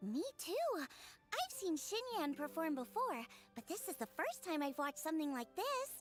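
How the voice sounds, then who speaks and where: A woman's put-on character voice at an extremely high pitch, swinging very widely, with clear music in the background. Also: moderate pace. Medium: video game. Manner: cheerful, chatty.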